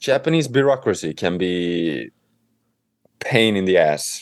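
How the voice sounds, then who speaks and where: A man with a Swedish accent, fairly slow pace, lively intonation. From Sweden, Stockholm. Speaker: home renovator and author. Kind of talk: interview.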